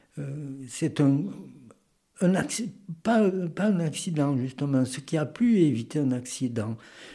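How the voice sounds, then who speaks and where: A man talks with lively intonation in a fairly high pitch. His tone is dark and mellow, and somewhat breathy. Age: 80s+. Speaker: retired naval model maker. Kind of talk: casual interview. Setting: home garage workshop.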